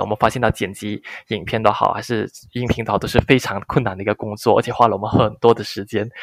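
An unremarkable speaking voice from a man, medium-pitched and fairly quick, with fairly even intonation. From Malaysia. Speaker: content creator, former expat engineer. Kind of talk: interview. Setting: remote call.

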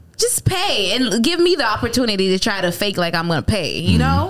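A woman with an American accent is heard against noticeable background noise. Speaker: podcast host. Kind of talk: casual banter podcast.

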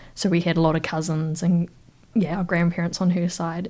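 Here a woman speaks in a fairly low pitch. Her intonation is monotone and flat. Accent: New Zealand. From New Zealand, Wellington. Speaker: regional councillor and freshwater ecologist. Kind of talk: casual interview.

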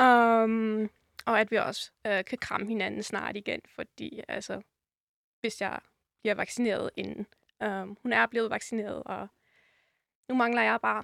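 The speech moves at a fairly slow pace with long, frequent pauses. The recording is very clean, with a silent background and dry, close sound with no echo. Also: woman. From northern Germany, Rotenburg (Wümme). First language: German (speaking Danish). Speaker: podcast guest. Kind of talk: casual interview. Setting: studio.

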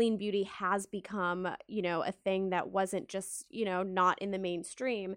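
A woman with an American accent speaks at a fairly slow pace in an unremarkable speaking voice, her medium pitch and fairly even intonation running on with hardly any pauses over a quiet background. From Texas, Dallas. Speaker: podcast host. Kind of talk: interview.

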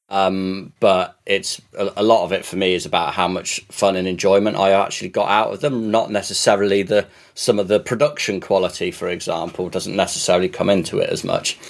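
A man talks at a fairly quick pace. He hardly pauses at all. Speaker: podcast co-host. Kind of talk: casual chat. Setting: recording from a laptop.

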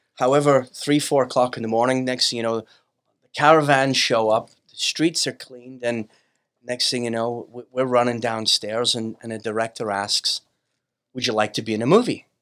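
In a plain, everyday voice, the speaker moves at a moderate pace with fairly even intonation on a very clean recording with a silent background. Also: man, medium pitch for a man, big swings in loudness. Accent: American. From Brooklyn, New York. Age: 50s. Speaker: business owner, company CEO. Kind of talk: casual interview chat.

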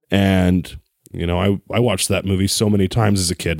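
Fairly low in pitch, a man speaks in a plain, everyday voice at a fairly quick pace with fairly even intonation. The sound is dry and close with no echo, on a very clean recording with a silent background. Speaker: Star Wars fan. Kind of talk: casual chat.

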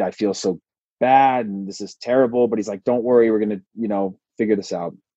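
In a dry, close sound with no echo, a man with an American accent talks at a moderate pace and medium pitch, his tone dark and mellow with ordinary pitch variation. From Modesto, California. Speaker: former professional footballer. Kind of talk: interview.

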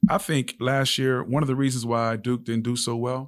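A man with an American accent talks at a moderate pace and medium pitch with fairly even intonation, an unremarkable speaking voice. The recording is very clean, its background silent. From Los Angeles (Compton/Carson area). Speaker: former college basketball player, youth basketball trainer. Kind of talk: casual interview. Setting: studio.

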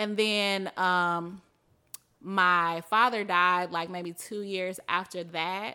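The voice has a bright, sharp tone and moves at a very slow pace with monotone, flat intonation. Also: woman, medium pitch for a woman, very clean recording, silent background. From Mississippi. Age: 30s. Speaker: YouTuber and coding educator. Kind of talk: casual chat. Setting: live event with audience.

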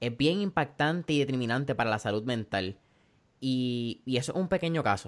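The recording is very clean with a silent background. A man uses a normal speaking voice at medium pitch and a fairly quick pace. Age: 20s. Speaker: podcast host. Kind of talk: interview. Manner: casual, Spanish-English code-switching.

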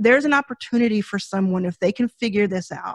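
Somewhat breathy, in an American accent, the voice shows ordinary pitch variation with a dry, close sound free of echo and a quiet background. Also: woman. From US South, Dallas, Texas. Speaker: venture capitalist, fund founder. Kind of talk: podcast interview. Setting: studio.

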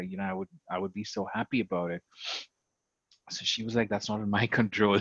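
A man with an Indian accent speaks at a fairly low pitch in a monotone, flat intonation. The sound is dry and close with no echo, over a quiet background. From India, Karnataka. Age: 30s. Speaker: LGBTQ advocate. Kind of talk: interview.

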